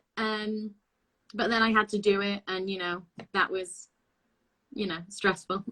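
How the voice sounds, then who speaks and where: A woman speaks in a Lancashire accent at a moderate pace. Her tone is bright and sharp. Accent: northern English (Lancashire). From northwest England, Blackpool. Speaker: actress and singer. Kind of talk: interview. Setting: video call.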